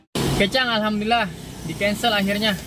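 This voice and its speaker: With a Jakarta accent, a man speaks in a high pitch against noticeable background noise. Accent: Betawi. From Jakarta, Betawi. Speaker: online taxi driver vlogger. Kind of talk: casual vlog commentary while driving. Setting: in a car. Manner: animated.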